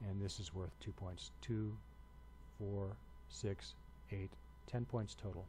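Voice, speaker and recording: A man with a very deep, low, dark and mellow voice speaks very slowly and somewhat breathily, with long, frequent pauses. His pitch swings very widely, and the room echo is audible. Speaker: university instructor. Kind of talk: lecture. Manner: hesitant with many fillers.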